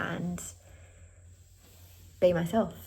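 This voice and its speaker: Someone with an Australian accent speaks with ordinary pitch variation amid audible room echo. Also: woman. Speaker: vlogger. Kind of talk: casual vlog chat. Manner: erratic.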